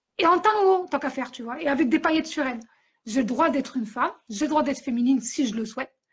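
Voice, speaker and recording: A loud, high-pitched woman's voice at a very fast pace, with lively intonation and a quiet background. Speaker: author and podcaster. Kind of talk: interview. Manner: animated.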